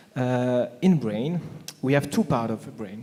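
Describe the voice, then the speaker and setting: This voice carries a French accent and ordinary pitch variation. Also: man. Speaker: panelist, marketing speaker. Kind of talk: panel discussion. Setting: conference stage with audience. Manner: halting, many fillers.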